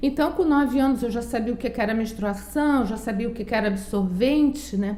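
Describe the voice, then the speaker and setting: A woman's voice with audible room echo. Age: 60s. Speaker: psychologist. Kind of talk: testimony.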